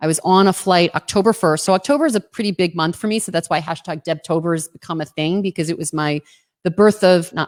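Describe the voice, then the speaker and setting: Speaking in a New Jersey accent, a woman has a fairly low pitch and ordinary pitch variation. Her tone is animated and her pace very fast. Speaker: entrepreneur, social media marketer. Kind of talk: livestream interview.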